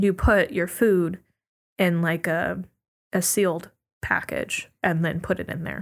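The speaker has an American accent and vocal fry, with ordinary pitch variation. The pace is fairly slow, broken by long, frequent pauses. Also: woman, fairly low pitch for a woman. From US, Oregon and Virginia. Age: 20s. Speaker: architecture student. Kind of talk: casual chat. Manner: animated.

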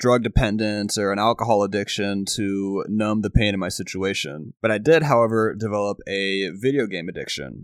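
Recorded very clean against a silent background, dry and close with no echo, a man with an ordinary speaking voice talks at a fairly low pitch and moderate pace. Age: 20s. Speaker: podcast host. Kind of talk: motivational monologue.

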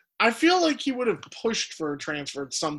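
An American accent from a man at a fairly quick pace, with very wide pitch swings. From United States. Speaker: podcast host. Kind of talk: casual banter about fantasy football.

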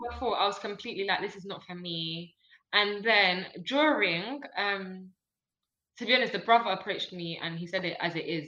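In a normal speaking voice, a woman at medium pitch talks at a moderate pace with ordinary pitch variation and big swings in loudness. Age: 20s. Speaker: business owner and podcast guest. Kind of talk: casual chat.

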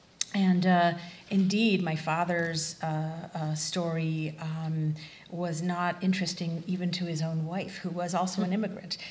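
Somewhat breathy and fairly low, a woman's voice moves at a fairly slow pace with monotone, flat intonation. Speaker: refugee studies researcher and teacher. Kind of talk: panel discussion. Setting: stage with audience.

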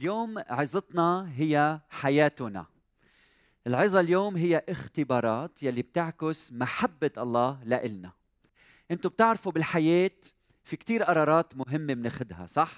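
A man's normal speaking voice, fairly high in pitch, at a fairly slow pace with lively intonation, dry and close with no echo, in a very clean recording with a silent background. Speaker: church service host. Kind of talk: sermon. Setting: stage with audience.

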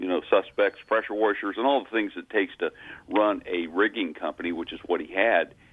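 A man with a fairly low voice talks at a moderate speed. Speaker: auctioneer. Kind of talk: phone interview. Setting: phone call. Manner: serious-sounding.

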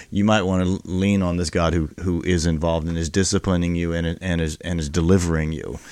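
With an American accent, a man with a very deep, low voice talks very fast and flat, with hardly any pauses, on a very clean recording with a silent background. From Texas, military family. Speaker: pastor. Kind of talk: casual chat.

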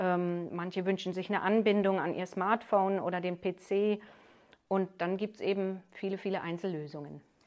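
A woman speaks at a moderate pace with medium pitch. Her intonation is monotone and flat. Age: 50s. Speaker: master hearing aid acoustician, business owner. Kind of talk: interview. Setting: her shop.

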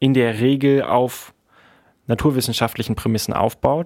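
This is an unremarkable speaking voice with fairly even intonation. The recording is very clean, with a silent background. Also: man. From Berlin, Germany. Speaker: university student. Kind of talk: casual interview.

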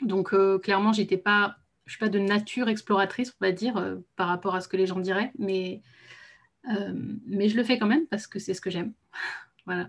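A woman at medium pitch, with fairly even intonation, a moderate pace and long, frequent pauses. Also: very clean recording, silent background. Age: 30s. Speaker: translator and travel business founder. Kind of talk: casual interview. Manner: hesitant, many fillers.

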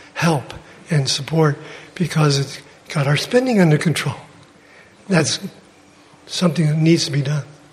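Against noticeable background noise, a man with a fairly high pitch speaks with ordinary pitch variation. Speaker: church member. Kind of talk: testimony.

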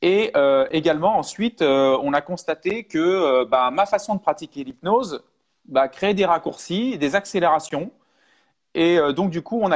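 A plain, everyday voice goes at a fairly slow pace with lively intonation. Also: man. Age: 40s. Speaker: hypnosis trainer. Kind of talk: live webinar talk. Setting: online live stream.

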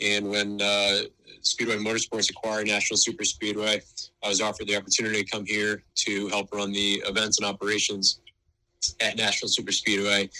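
The man's fairly low voice has a bright, sharp tone and a monotone, flat intonation. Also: fairly quick pace. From northeastern US. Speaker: speedway executive. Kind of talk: interview.

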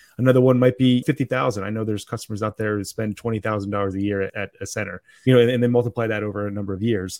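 The speech moves at a very fast pace with hardly any pauses. Its intonation stays fairly even. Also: man, fairly low pitch for a man. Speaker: podcast host. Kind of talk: casual interview.

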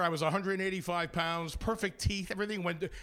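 This man's voice is raised and projected, high-pitched, with a bright, sharp tone. He keeps a moderate pace. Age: 40s. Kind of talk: interview with stand-up bits. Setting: studio with live audience. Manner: animated.

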